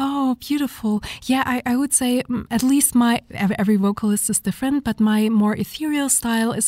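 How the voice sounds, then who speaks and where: A woman's somewhat breathy, dark and mellow voice at a moderate pace with fairly even intonation, in a dry, close sound with no echo. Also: very clean recording, silent background. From Germany. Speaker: vocalist. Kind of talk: interview. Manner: halting.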